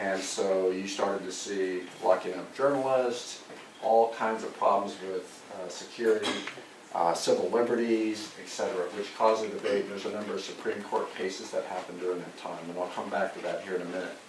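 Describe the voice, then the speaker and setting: A soft-spoken man with an American accent talks at a fairly quick pace in a fairly low pitch, his intonation fairly even, with audible room echo and noticeable background noise. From US West Coast, Santa Cruz County, California. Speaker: army general. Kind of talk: lecture.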